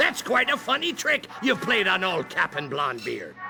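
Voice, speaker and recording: Against clear background noise, a man does a cartoonish character voice at an extremely high pitch and a moderate pace. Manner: hearty, folksy.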